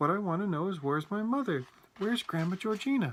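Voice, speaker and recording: A man in a put-on character voice talks at a very fast pace, his high pitch moving in lively intonation while his loudness stays very even. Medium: read story.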